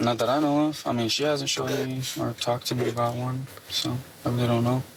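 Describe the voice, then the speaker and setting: This man's medium-pitched voice moves at a very fast pace, flat and monotone with very even loudness, against noticeable background noise. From Puerto Rico. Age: 20s. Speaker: traffic stop suspect. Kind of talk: police questioning. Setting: inside a police car.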